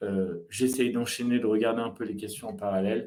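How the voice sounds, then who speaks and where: A man talks at a moderate pace. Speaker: marketing agency founder, video content expert. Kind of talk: live webinar talk with Q&A. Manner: animated.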